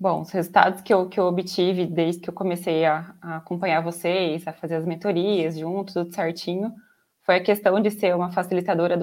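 A woman's fairly low voice in a monotone, flat intonation, at a moderate pace, on a very clean recording with a silent background. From interior of São Paulo state, Brazil. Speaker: software quality analyst. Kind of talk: casual interview.

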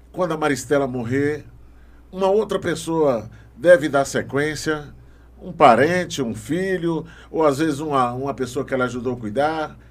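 The man's fairly high voice moves at a fairly slow pace. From Maranhão, Brazil. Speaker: podcast host. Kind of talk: interview.

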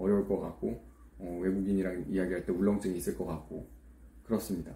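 A man speaks in a somewhat breathy voice with a dark, mellow tone. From South Korea. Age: 20s. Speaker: YouTuber. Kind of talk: monologue vlog. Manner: halting.

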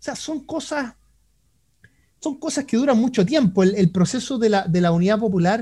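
A man with a Chilean accent talks at a high pitch in a dark, mellow tone, with ordinary pitch variation. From Chile (Concepción). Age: 30s. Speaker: economist. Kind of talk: interview.

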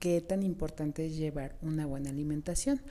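A woman's dark, mellow tone carries her words at a moderate pace. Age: 30s. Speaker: beauty podcast host. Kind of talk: solo podcast talk.

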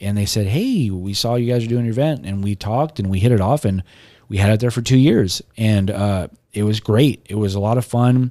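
At a fairly quick pace, the speaker has a dark, mellow tone and an American accent, in a very clean recording with a silent background. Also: man, fairly low pitch for a man, ordinary pitch variation. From South Texas (Robstown, near Corpus Christi). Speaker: comic convention co-owner and apparel entrepreneur. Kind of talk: casual interview chat. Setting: home studio. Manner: animated.

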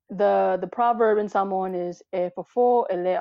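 This is a normal speaking voice from a woman with an American accent. Her pitch is medium, with ordinary variation. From US Arizona. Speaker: interviewee, fitness enthusiast. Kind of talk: casual interview chat.

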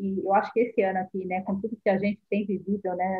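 Moderately paced talking over background music. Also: woman. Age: 40s. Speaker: marketing specialist. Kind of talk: casual chat. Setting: live stream.

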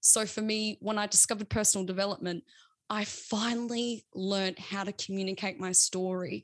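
A woman with an Australian accent speaks fairly quickly at a medium pitch, with fairly even intonation. The sound is dry and close with no echo, against a quiet background. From South Australia. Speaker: social media manager and newsreader. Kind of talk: casual chat.

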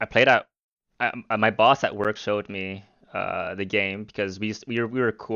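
Delivery is very fast. The intonation holds fairly even. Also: man. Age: 20s. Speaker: gamer and streamer. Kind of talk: casual chat.

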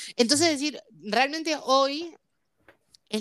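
A woman speaks in a Rioplatense accent with lively intonation. Her tone is bright and sharp. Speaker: podcast co-host. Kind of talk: casual chat.

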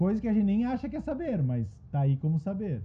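This man has a dark, mellow tone at a high pitch and talks at a fairly quick pace. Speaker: podcast host and writing workshop facilitator; therapist. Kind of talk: group discussion.

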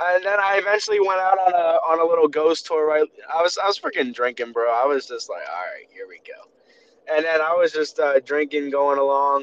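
Over noticeable background noise, a man with an American accent speaks at a fairly quick pace and high pitch. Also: ordinary pitch variation, big swings in loudness. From Maryland, Baltimore area. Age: 20s. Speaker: podcast host. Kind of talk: casual chat. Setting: phone call while driving.

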